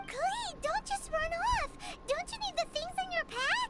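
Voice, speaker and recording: A put-on character voice, squeaky and extremely high in pitch, talks at a moderate pace with faint music in the background. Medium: game stream. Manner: fussy, chiding.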